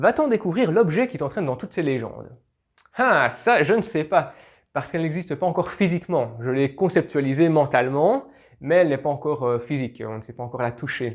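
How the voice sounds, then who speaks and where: A fairly high-pitched man's voice with lively intonation and big swings in loudness, over a quiet background. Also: fairly quick pace. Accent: Belgian. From Belgium. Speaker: YouTuber, history and legends channel. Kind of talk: casual Q&A video. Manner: hesitant, many fillers.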